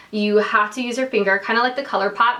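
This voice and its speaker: With noticeable background noise, a woman talks at a fairly high pitch with ordinary pitch variation. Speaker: beauty vlogger. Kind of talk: product review. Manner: casual, filler-heavy.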